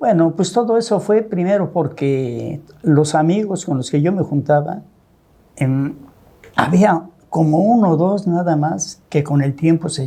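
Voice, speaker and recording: Noticeable background noise sits behind a man speaking at a fairly slow pace. His pitch is high and varies in an ordinary way. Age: 70s. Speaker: businessman, host's father. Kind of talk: interview storytelling.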